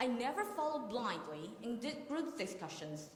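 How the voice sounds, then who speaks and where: A woman with a Chinese accent speaks high and at a moderate pace, with very wide pitch swings. Audible room echo surrounds her voice. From Taiwan. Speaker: university student contestant. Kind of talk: competition presentation.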